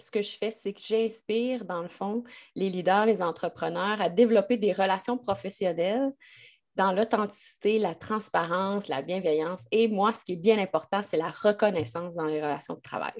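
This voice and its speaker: Against a quiet background, a woman speaks at a medium pitch and moderate pace. Her pitch varies in an ordinary way, while her loudness swings widely. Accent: slight Québécois. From Quebec, Lac-Beauport near Quebec City. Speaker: business consultant and leadership coach. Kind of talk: interview.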